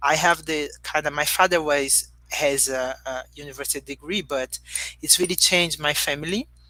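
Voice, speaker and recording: In a Portuguese accent, a woman speaks with a very deep, low pitch. Her tone is bright and sharp, and her intonation fairly even. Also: moderate pace. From Brazil, Rio de Janeiro. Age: young. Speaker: human rights advocate. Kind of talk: interview. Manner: halting.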